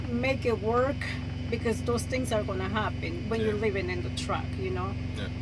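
There is loud background noise in this clip. A woman is the one speaking. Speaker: truck-living vlogger. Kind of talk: casual vlog chat. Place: car. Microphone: phone near.

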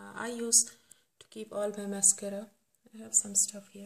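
A somewhat breathy woman's voice, fairly slow and monotone, with flat intonation. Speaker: home organization vlogger. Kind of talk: casual vlog chat. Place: bathroom. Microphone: phone near.

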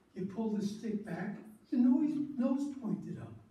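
A man talks at a fairly slow pace. Audible room echo surrounds his voice. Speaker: storyteller. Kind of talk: storytelling talk to an audience. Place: hall. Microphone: camera far.

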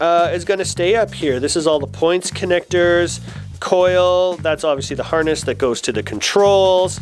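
With faint music in the background, a man speaks at a high pitch and a moderate pace, his intonation lively.

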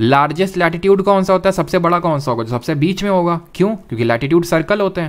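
This man has a high-pitched voice. His tempo is moderate and his intonation lively. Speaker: online exam-prep teacher. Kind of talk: lecture. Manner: conversational, addresses chat viewers.

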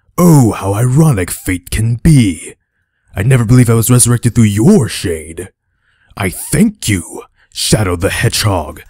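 Using a raspy, put-on character voice, a man talks at a medium pitch and a moderate pace. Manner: menacing, theatrical.

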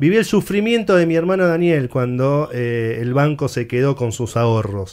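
This man talks at a moderate pace in a fairly high voice with very wide pitch swings, on a very clean recording with a silent background. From Argentina. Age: 30s. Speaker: interviewer. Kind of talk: interview.

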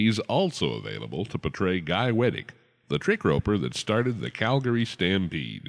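A man's fairly low, vocal-fried voice at a moderate pace, animated and playful with very wide pitch swings, on a very clean recording with a silent background. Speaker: Western entertainer promoting another performer. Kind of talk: carnival-barker style promo pitch with folksy western patter. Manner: booming, animated showman delivery, playful and punchy.

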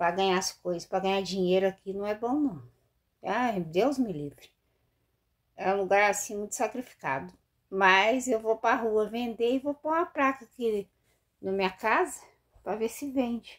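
Speaking at a fairly slow pace, a woman uses a fairly high pitch and lively intonation. She takes long, frequent pauses over a quiet background. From Brazil. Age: 50s. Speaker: vlogger, street vendor. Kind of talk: casual vlog monologue. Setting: bathroom at home. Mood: candid, slightly rueful. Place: home room. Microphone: phone near.

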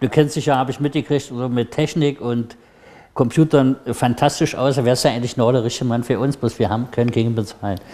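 Speaking at a very fast pace, a man uses a medium pitch. His tone is dark and mellow, with fairly even intonation. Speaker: TV talk show co-host. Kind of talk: moderated panel discussion. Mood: friendly, smiling. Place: studio. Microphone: lapel.

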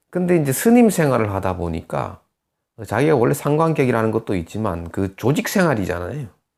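In a very clean recording with a silent background, a man talks with very wide pitch swings. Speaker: saju fortune-telling teacher and counselor. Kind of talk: lecture. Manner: halting.

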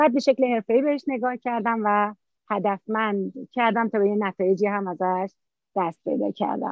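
A woman with a fairly high pitch speaks at a moderate pace with ordinary pitch variation, in a dry sound with no echo against a quiet background. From Iran, Mazandaran (Qaem Shahr); Mazandaran, Iran. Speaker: taekwondo coach and referee; interview guest. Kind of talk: interview. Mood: warm, smiling. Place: garden. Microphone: phone near.

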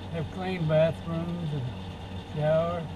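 The man's speech comes out fairly slowly. Background noise is clearly audible. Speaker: traveler vlogger. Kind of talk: casual vlog chat. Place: car. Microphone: camera far.

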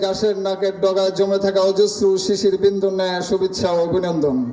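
Over noticeable background noise, a man with a high pitch speaks in a passionate tone but with monotone, flat intonation. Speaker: Islamic scholar giving a sermon. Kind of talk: Islamic waz sermon to a live audience. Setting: public gathering with PA system. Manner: passionate, rhetorical, loud sermon delivery.

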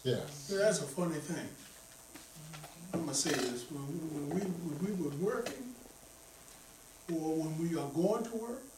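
A man talks with audible room echo and light background noise. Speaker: preacher. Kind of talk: sermon. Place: church.

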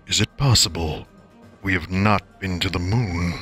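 A man puts on a character voice with a very deep, low pitch. He keeps a moderate pace over clear music in the background.

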